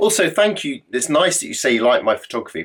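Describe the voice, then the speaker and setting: In an English accent, a man talks in an animated tone. He moves at a fairly quick pace. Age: middle-aged. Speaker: adventurer. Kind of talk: casual Q&A monologue.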